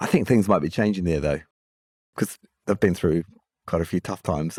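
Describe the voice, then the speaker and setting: The sound is dry and close with no echo, on a very clean recording with a silent background. A man talks very fast with ordinary pitch variation. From New Zealand. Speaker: podcast host. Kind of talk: podcast interview. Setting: live podcast recording.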